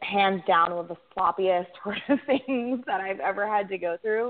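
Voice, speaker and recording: A woman's unremarkable speaking voice at medium pitch. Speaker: food company founder. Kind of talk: interview.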